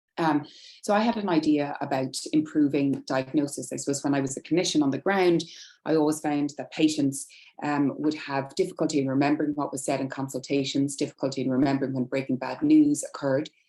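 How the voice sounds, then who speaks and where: A woman with an Irish accent speaks at a very fast pace, her very deep, low pitch and dark, mellow tone held in fairly even intonation. The background is quiet. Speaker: nurse specialist presenting research. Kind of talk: webinar presentation.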